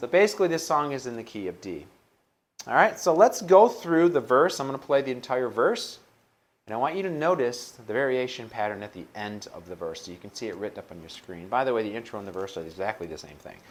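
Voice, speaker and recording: Speaking at a very fast pace, a man at medium pitch shows very wide pitch swings and big swings in loudness. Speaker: guitar teacher. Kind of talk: tutorial.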